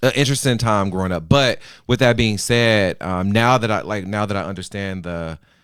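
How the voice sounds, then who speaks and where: This man has an ordinary speaking voice with a fairly low pitch and an American accent. He talks at a fairly quick pace with ordinary pitch variation. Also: very clean recording, silent background. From Chicago, later Mississippi. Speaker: university orientation staff member. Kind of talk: podcast interview.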